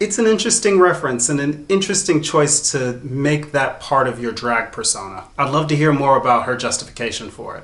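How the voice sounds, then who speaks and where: In an American accent, a man uses an ordinary speaking voice at a fairly high pitch, with lively intonation and a moderate pace. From US South. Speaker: drag queen reviewer. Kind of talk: commentary reaction video.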